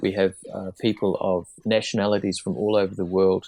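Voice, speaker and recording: Over a quiet background, a man speaks with a New Zealand accent. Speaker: disarmament researcher, former diplomat. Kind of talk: interview podcast. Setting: remote call from Geneva.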